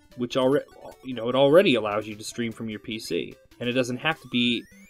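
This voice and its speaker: A man talks in a medium register, his pitch varying in an ordinary way. Behind him there is music. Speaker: gaming video host. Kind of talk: casual commentary to camera. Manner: quiet.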